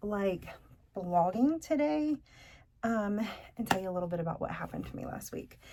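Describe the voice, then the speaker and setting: This woman's voice is fairly high in pitch and somewhat breathy. Its tone is dark and mellow. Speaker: vlogger. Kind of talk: casual vlog talk to camera. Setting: hospital bed. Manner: halting, many fillers.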